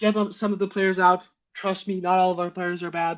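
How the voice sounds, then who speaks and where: Someone with a Danish accent speaks at a fairly quick pace. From Denmark, Aarhus. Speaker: football fan panelist. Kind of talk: casual chat.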